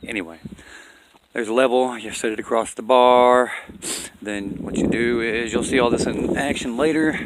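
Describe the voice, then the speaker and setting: Noticeable background noise sits behind a man speaking at a moderate pace with long, frequent pauses. His pitch is medium and his intonation fairly even. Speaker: off-grid homesteader vlogger. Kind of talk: casual outdoor tutorial. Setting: outdoors on a mountain. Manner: casual, rambling, self-correcting.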